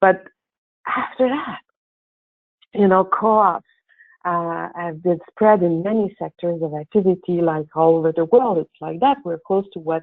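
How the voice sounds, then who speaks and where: A woman with a French accent speaks at a fairly low pitch with ordinary pitch variation. Her speech has long, frequent pauses. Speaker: co-op developer and presenter. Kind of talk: webinar presentation. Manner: halting, with fillers.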